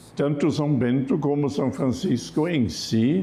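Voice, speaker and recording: Over noticeable background noise and audible room echo, a man with a German accent speaks with lively intonation. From Germany. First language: German (speaking Portuguese). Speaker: Franciscan friar. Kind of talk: TV interview on religion.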